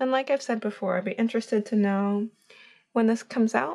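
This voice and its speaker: The speech is mumbled. Pitch variation is ordinary. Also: woman. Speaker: painter. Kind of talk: casual talk while painting. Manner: mumbling; hesitant, many fillers.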